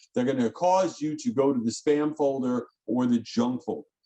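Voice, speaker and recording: A man's fairly high voice rises and falls in very wide pitch swings. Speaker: email marketing executive, webinar speaker. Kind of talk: webinar presentation. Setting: online webinar. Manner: fast; animated.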